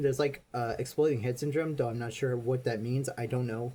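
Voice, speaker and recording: A man speaks fairly quickly in a somewhat breathy voice. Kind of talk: casual monologue. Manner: halting, with pauses and restarts.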